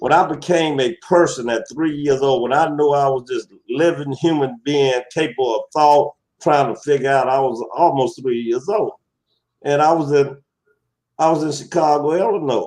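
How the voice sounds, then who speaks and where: A man with a Southern US accent, fairly high pitch, ordinary pitch variation and a moderate pace. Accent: southern twang. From US South, Alabama. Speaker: talk show guest. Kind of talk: casual interview chat. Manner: halting, many repetitions.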